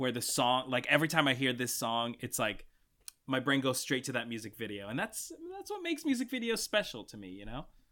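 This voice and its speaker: A man at a medium pitch speaks in an animated tone. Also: very clean recording, silent background. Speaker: podcast host. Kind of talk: casual chat.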